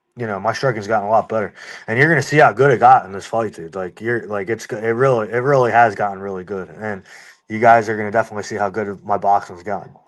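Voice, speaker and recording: A man with a fairly low pitch talking at a very fast pace with big swings in loudness, in a very clean recording with a silent background. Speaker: bare-knuckle fighter. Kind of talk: interview. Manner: fast, halting.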